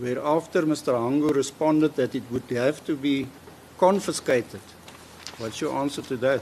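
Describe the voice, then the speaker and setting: Noticeable background noise behind a man's fairly high-pitched voice with ordinary pitch variation. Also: moderate pace. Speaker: prosecutor cross-examining witness. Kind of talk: courtroom cross-examination. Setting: courtroom. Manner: soft-spoken.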